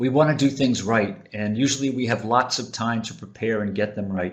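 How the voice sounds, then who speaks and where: An ordinary speaking voice with an American accent moves at a moderate pace with lively intonation. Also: man. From United States. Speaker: webinar presenter on teaching. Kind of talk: webinar presentation. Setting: online webinar.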